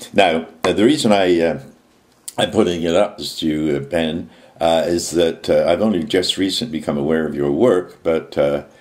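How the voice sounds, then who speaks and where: A man talks in a very deep, low voice with ordinary pitch variation. Noticeable background noise runs behind him. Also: moderate pace. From England. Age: 70s. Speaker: activist. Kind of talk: video message monologue. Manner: halting, many fillers.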